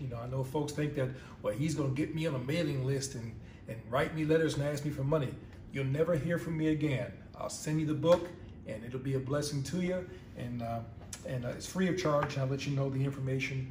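Light background noise and audible room echo surround a man's voice. He speaks at a fairly quick pace with fairly even intonation. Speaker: pastor. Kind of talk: sermon. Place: home room. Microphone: phone near.

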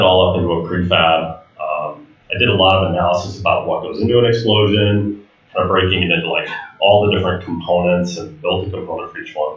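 A man at a fairly quick pace, with audible room echo. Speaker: conference presenter. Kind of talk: lecture. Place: hall.

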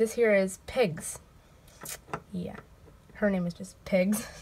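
Somewhat breathy, a woman speaks. Her pace is fairly slow. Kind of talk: casual vlog chat. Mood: cheerful, playful. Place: home room. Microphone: phone near.

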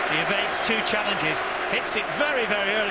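Loud noise fills the background. Over it, a man talks very fast. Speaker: football co-commentator and pundit. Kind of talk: live football commentary, analytical co-commentary. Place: studio.

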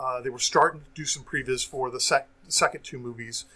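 Fairly quick speech from a man. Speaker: IT professional and sales engineer; podcast guest. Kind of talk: casual chat. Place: home room. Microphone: earbuds.

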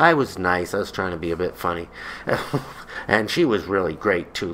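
With lively intonation and fairly low pitch, a man speaks at a moderate pace. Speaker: vlogger. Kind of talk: comedic personal storytelling to camera. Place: home room. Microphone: webcam.

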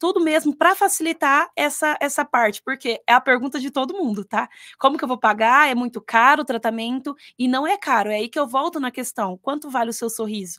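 Against a quiet background, a woman speaks with lively intonation. Her pitch is high. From Paraná, Brazil. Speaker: dentist; guest. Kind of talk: radio interview. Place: studio. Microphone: studio mic.

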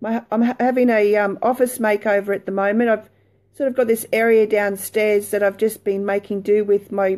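Against a quiet background, a woman with an Australian accent speaks at a moderate pace in a flat, monotone way. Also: fairly high pitch for a woman. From Australia, Brisbane. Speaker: lifestyle blogger. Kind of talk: casual chat; casual vlog chat. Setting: live video stream from home. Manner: hesitant, many fillers. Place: home room. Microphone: phone near.

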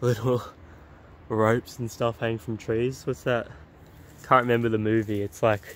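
Dry, with no echo, a man's voice moves at a fairly quick pace in a monotone, flat intonation. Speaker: explorer vlogger. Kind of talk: casual vlog chat. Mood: curious, slightly uneasy. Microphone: phone near.

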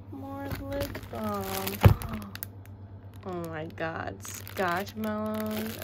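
Speech at a very slow pace comes through loud background noise. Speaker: vlogger. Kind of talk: casual vlog chat. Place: home room. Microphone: phone near.

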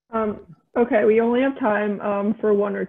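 A woman's medium-pitched, monotone voice with flat intonation, at a fairly slow pace. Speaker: intern reading audience questions. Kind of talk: reading questions. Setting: video call.

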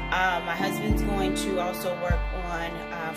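A woman speaks over loud music in the background. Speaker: home builder vlogger. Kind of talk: casual vlog chat. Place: bathroom. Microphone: phone near.

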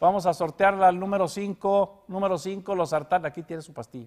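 A man is speaking. His voice is high in pitch, over a quiet background. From Mexico. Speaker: news show co-host. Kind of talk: casual news commentary. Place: studio. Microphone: lapel.

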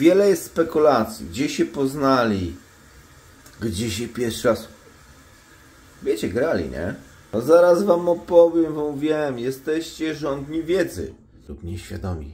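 Speaking at a very slow pace, a man leaves long, frequent pauses and swings widely in loudness. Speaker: vlogger. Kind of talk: casual vlog chat, gossip storytelling. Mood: mocking, amused. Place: home room. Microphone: phone near.

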